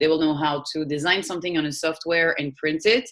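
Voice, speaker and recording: In a French accent, a woman speaks fairly quickly with a very deep, low pitch. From France, Paris. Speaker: PR agency founder. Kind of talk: interview.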